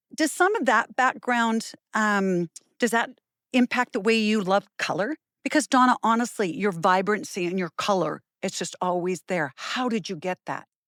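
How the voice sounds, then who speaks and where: Here a woman speaks at a moderate pace and a medium pitch, with lively intonation, in an ordinary speaking voice. The sound is dry and close with no echo, on a very clean recording with a silent background. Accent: Canadian. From Canada. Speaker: podcast host and fitness instructor. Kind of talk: interview.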